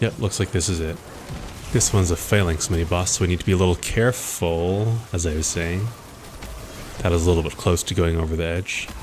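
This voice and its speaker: Over background music, a man speaks at a fairly quick pace in a very deep, low pitch with fairly even intonation. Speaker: gaming video creator. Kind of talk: gameplay walkthrough commentary. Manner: low energy.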